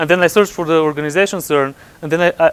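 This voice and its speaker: Delivered at a very fast pace with fairly even intonation, the speech comes in a Bulgarian accent over a dry, close sound with no echo. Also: man. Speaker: computer scientist at physics lab. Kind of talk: conference talk. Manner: halting, many repetitions.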